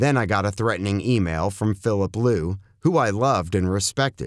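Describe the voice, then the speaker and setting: Over a silent background in a very clean recording, a man with a fairly low pitch talks at a moderate pace in a normal speaking voice with lively intonation. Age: 60s. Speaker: author and former concert promoter. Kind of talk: reading aloud.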